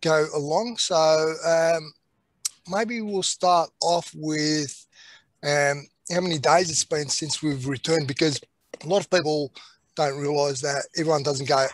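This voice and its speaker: A man at a fairly slow pace with long, frequent pauses and ordinary pitch variation, dry sound with no echo over a quiet background. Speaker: panel host. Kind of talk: webinar moderation. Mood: warm, welcoming. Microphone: video call.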